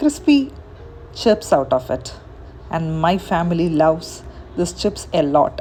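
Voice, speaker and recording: The voice carries a Keralan accent. Its pitch swings are very wide. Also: woman. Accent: Indian English (Malayali). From India, Kerala. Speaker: home cook. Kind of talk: cooking tutorial.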